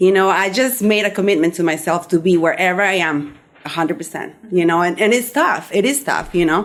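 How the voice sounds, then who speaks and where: A woman talks at a fairly quick pace in a Spanish accent. Her pitch is medium. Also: ordinary pitch variation. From Peru. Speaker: somatic healing practitioner, podcast host. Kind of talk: radio interview.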